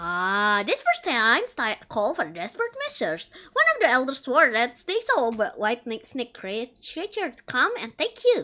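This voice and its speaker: Using a put-on character voice, a woman speaks high-pitched at a moderate pace, with big swings in loudness and hardly any pauses. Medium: virtual streamer. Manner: rambling, self-deprecating.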